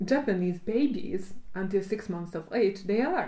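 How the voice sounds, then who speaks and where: A woman with a Hungarian accent speaks at a very slow pace in a dark, mellow tone, with audible room echo. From Hungary. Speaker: cognitive psychologist. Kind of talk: casual chat. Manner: halting.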